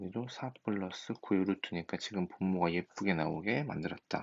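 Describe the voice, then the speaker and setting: Mumbling at a fairly slow pace, a man speaks at a fairly low pitch. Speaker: high school math teacher. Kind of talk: recorded lecture. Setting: recorded at home at night.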